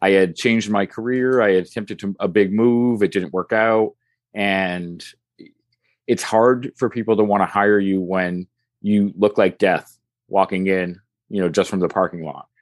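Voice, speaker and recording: A man with an unremarkable speaking voice and a fairly low pitch keeps his intonation fairly even at a moderate pace, against a quiet background. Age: 40s. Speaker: weight-loss social media creator. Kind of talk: casual interview.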